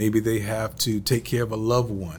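Speaking at a fairly quick pace, a man has a fairly low pitch, fairly even intonation, and an ordinary speaking voice. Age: 40s. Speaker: podcast host. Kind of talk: interview.

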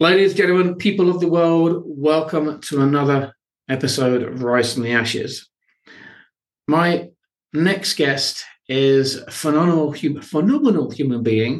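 A man uses a normal speaking voice, keeping a moderate pace. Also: fairly high pitch for a man, ordinary pitch variation. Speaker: podcast host. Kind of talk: interview, warm and inspirational.

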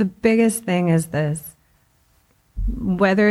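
The woman in this clip speaks at a moderate pace. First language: Spanish. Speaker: school principal. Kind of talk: interview.

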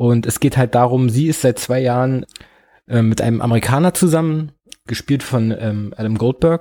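A man speaks at a moderate pace in a medium pitch with a dark, mellow tone. His pitch varies in an ordinary way, and the recording is very clean with a silent background. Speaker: podcast host. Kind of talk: solo film review. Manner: hesitant, filler-heavy.

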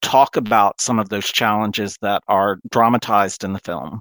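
On a very clean recording with a silent background, a man talks at a moderate pace. He has a normal speaking voice with a medium pitch and ordinary pitch variation. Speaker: radio host. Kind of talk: interview.

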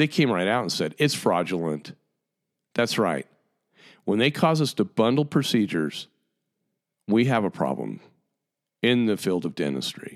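Over a very clean recording with a silent background, a man speaks at a fairly low pitch with vocal fry. His pitch swings very widely, and he takes long, frequent pauses. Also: moderate pace. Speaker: dentist and podcast host. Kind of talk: casual monologue. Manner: halting, many fillers.

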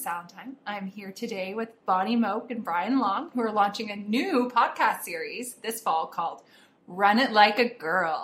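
A woman speaks in a normal speaking voice, fairly high in pitch, at a moderate pace. Her loudness swings widely, and her pitch varies in an ordinary way. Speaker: interviewer. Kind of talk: casual interview.

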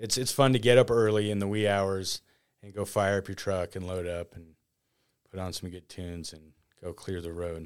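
On a very clean recording with a silent background, a man speaks with a very deep, low pitch in an American accent. His loudness swings widely while his intonation stays fairly even. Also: moderate pace. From northern Nevada (Reno area). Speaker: snowplow driver, road maintenance worker. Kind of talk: interview.

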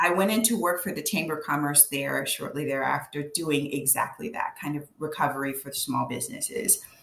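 A woman speaks with a very deep, low pitch at a fairly quick pace. There are hardly any pauses, and noticeable background noise runs underneath. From Louisiana, Cajun. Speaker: business coach. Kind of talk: interview. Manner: halting with fillers.

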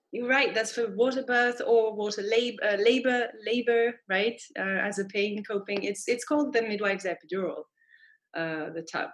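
A woman with a French accent, fairly high in pitch, at a moderate pace with ordinary pitch variation. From France. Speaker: midwife. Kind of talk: interview.

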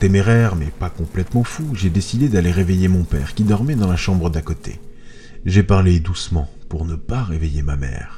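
Through noticeable background noise comes a man's very deep, low voice with lively intonation. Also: moderate pace. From France, Moselle (eastern France). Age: 30s. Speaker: horror podcast narrator. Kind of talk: scripted horror narration.

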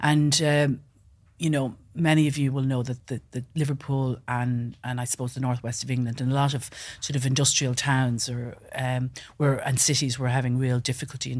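With a western Irish accent, a woman speaks fairly quickly in a very deep, low voice and a flat, monotone delivery. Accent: Irish, west of Ireland. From west coast of Ireland. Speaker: business founder. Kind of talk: interview. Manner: hesitant, many fillers.

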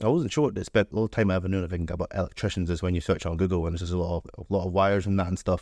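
A man with a Scottish accent, very deep and low in pitch, talking at a very fast pace with hardly any pauses and fairly even intonation over a quiet background. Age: 20s. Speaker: electrical apprentice. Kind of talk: interview.

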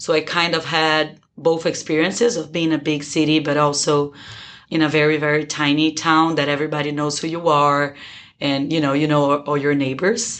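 A woman at a moderate pace, her very deep, low voice in a Brazilian accent and a flat monotone. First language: Portuguese. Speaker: business school student. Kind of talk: interview.

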